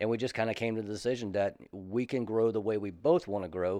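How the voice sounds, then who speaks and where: A man with a Southern US accent, fairly low in pitch, at a fairly quick pace against a quiet background. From South Carolina, Columbia. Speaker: retired army soldier turned real estate agent. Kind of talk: casual interview.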